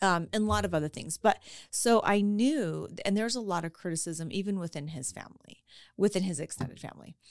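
A woman with an American accent has a plain, everyday voice at a fairly low pitch. Her intonation is lively and her loudness swings widely. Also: fairly quick pace. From Colorado, US. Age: 50s. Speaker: real estate student and small business owner. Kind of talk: personal testimony in interview.

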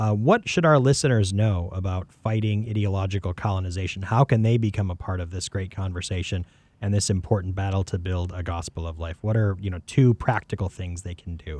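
On a very clean recording with a silent background, a man with an American accent speaks in a very deep, low, somewhat breathy voice, with ordinary pitch variation and hardly any pauses. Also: fairly quick pace. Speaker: podcast host. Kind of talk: interview. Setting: studio.

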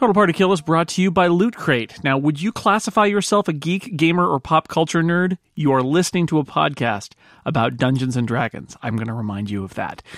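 A man with a fairly high pitch talks with hardly any pauses, his pitch swinging very widely. The sound is dry and close, with no echo. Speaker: podcast host and player. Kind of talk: casual game chat plus scripted ad read.

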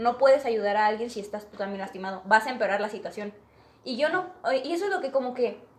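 A woman's fairly high voice at a very fast pace, with lively intonation, big swings in loudness, and noticeable background noise. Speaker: podcast guest. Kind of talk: casual chat.

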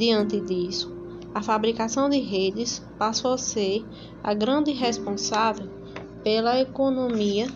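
Over noticeable background noise, a woman with a fairly high pitch talks at a very slow pace in a fairly even intonation. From Paraíba, Brazil (São Bento). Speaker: local history presenter. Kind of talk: scripted narration.

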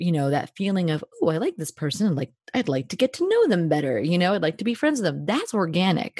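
Very wide pitch swings and an animated tone carry this somewhat breathy voice with a New Jersey accent, heard in a dry, close sound with no echo. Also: woman. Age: 30s. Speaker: podcaster and speaker on friendship. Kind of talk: casual interview.

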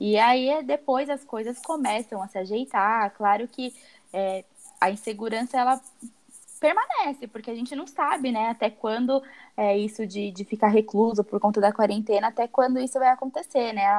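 Ordinary pitch variation and a moderate pace mark a normal speaking voice. The recording is dry and close, with no echo. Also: woman, fairly high pitch for a woman. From Brazil. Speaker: podcast co-host, advertising graduate. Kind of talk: casual chat.

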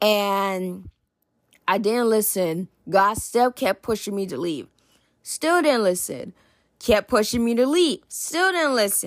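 Very slowly and with very wide pitch swings, a woman talks in a fairly high pitch, the sound dry and close with no echo in a very clean recording with a silent background. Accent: American. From New Jersey. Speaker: podcast host. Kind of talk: testimony.

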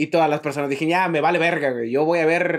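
Very fast and fairly even in intonation, this man's voice sits fairly high. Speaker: podcast co-host. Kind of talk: casual chat.

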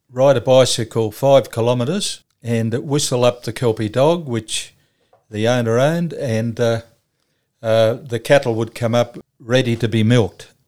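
With an Australian accent, a man speaks at a fairly slow pace, his medium-pitched voice holding fairly even intonation. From Australia, Cessnock, New South Wales. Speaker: charity leader for the homeless. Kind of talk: interview.

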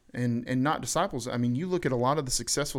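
A man with a Southern US accent. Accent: US South. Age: 30s. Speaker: podcast host. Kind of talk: casual chat.

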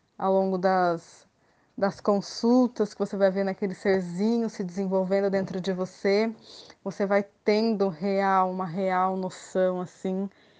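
A woman speaks very slowly. Her voice is medium in pitch with a dark, mellow tone. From Brazil, Campinas (São Paulo state). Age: 30s. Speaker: mother returning to work, former corporate employee. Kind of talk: personal testimony in interview. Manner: halting, many filler hesitations.

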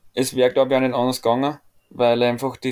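In a flat monotone, a man speaks at medium pitch. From Austria. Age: 20s. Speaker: volleyball player. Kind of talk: casual interview chat. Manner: hesitant, many fillers.

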